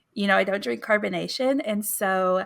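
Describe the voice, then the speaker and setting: A woman speaks with an American accent at a medium pitch and a moderate pace. Her intonation is lively, and the recording is very clean with a silent background. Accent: Texan accent, shows on certain words. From Texas. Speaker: podcast co-host. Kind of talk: casual chat.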